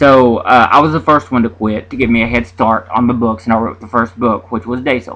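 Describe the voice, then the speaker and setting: With an Appalachian accent, a man speaks at a medium pitch and a very fast pace. His intonation stays fairly even. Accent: Appalachian Southern. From US South, Southwest Virginia mountains. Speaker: independent author vlogger. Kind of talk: casual vlog monologue. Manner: halting, many fillers and repetitions.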